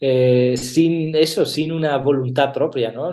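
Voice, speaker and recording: A man with a slight Italian accent speaks in a fairly high pitch with a dark, mellow tone. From Italy. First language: Italian (speaking Spanish). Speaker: actor and theatre director. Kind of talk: interview. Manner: hesitant, many fillers.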